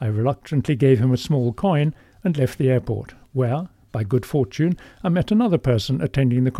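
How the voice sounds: The text is read in a natural reading voice.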